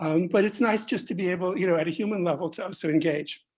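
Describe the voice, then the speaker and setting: Ordinary pitch variation marks this voice with a New York accent. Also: woman. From New York City. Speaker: architect mentor. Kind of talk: panel discussion.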